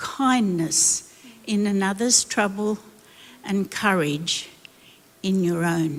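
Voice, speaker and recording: A woman with an Australian accent, medium in pitch, at a very slow pace. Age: 80s+. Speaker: former missionary and pastor. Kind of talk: panel discussion answer. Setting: church stage.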